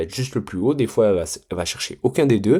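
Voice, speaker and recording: A man at medium pitch is heard in a very clean recording with a silent background. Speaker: trading mentor. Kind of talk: tutorial. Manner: casual, hesitant with many fillers.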